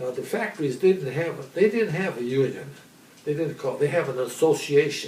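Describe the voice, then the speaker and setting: A man speaks at a moderate speed. Noticeable noise sits in the background. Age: 80s+. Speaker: centenarian storyteller. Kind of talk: life story interview.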